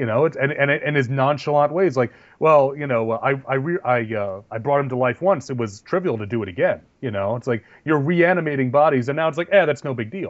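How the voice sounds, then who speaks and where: This man has an ordinary speaking voice, fairly high in pitch. He talks at a fairly quick pace with ordinary pitch variation. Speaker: podcast co-host. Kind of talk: casual banter podcast chat.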